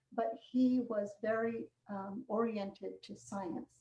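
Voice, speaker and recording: A woman speaks at a medium pitch with a dark, mellow tone. Her voice is somewhat breathy, with ordinary pitch variation. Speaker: psychiatrist. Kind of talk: interview. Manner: halting.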